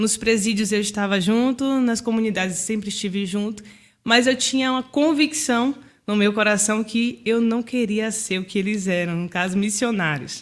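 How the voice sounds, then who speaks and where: At a moderate pace, a woman speaks in an unremarkable speaking voice. Her pitch is fairly high, with ordinary variation. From Bahia, Brazil. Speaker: founder of a social charity. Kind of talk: podcast interview.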